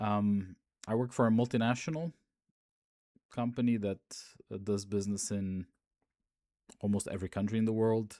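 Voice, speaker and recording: In a dry, close sound with no echo, a man with a fairly low pitch and a dark, mellow tone speaks at a moderate pace with fairly even intonation and long, frequent pauses. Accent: American. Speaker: fraud investigator and podcaster. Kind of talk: casual monologue podcast. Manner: hesitant, many fillers.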